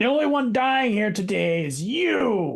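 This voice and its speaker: A man adopts a put-on character voice, high in pitch and delivered fairly slowly. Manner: threatening.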